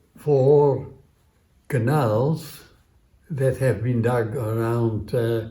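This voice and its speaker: In a Dutch accent, the speaker talks at a very slow pace with a dark, mellow tone, somewhat breathy and with fairly even intonation, in audible room echo. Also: man. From Netherlands, Amsterdam. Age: 80s+. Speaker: centenarian interviewee, community radio presenter. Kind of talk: interview storytelling. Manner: halting, many fillers.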